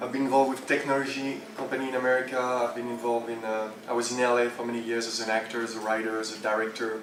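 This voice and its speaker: Amid noticeable background noise and audible room echo, a man with a French accent talks at a very fast pace with hardly any pauses, a medium pitch and monotone, flat intonation. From France, Champagne region. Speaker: entrepreneur and speaker. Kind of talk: conference talk. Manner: halting.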